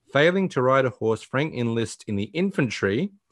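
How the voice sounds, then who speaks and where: Over a quiet background, a man with an Australian accent speaks at a medium pitch and moderate pace with lively intonation. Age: 40s. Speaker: podcast host. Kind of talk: casual chat; plot summary reading.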